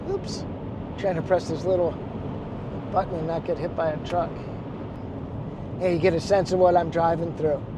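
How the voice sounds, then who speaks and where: Over noticeable background noise, a man with an American accent talks at a high pitch. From Chicago, US Midwest. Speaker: photographer and travel vlogger. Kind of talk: casual vlog narration. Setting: in a car driving.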